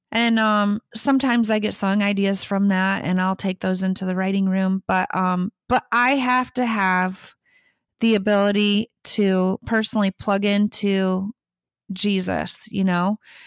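On a very clean recording with a silent background, a woman with an American accent speaks at a fairly slow pace in monotone, flat intonation. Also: medium pitch for a woman, dry, close sound with no echo. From US Midwest, Michigan. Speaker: songwriter. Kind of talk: interview. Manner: hesitant, many fillers.

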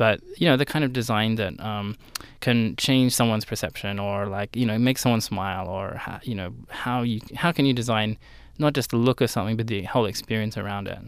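With an Australian accent, the speaker moves at a fairly quick pace with ordinary pitch variation on a very clean recording with a silent background. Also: man, medium pitch for a man. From Australia, southern Sydney. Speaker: graphic designer and studio founder. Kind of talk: interview. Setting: radio studio. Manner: hesitant, many fillers.

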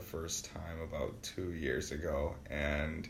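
Speaking with an American accent, a man with a very deep, low pitch and a somewhat breathy voice goes at a fairly slow pace amid audible room echo. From Wisconsin, Milwaukee south side. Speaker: university student. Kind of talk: casual interview.

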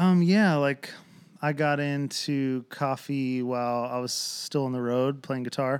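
On a very clean recording with a silent background, a man with an American accent speaks in an unremarkable speaking voice at a fairly high pitch, fairly slow pace and fairly even intonation. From Lancaster, Pennsylvania. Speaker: coffee shop owner. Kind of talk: casual interview. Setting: living room.

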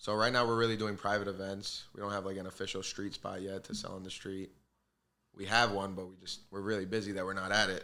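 With a New York accent, a man rattles along at a very fast pace in a bright, sharp tone, his fairly low voice flat and monotone. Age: 20s. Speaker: bagel shop owner. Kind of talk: casual chat.

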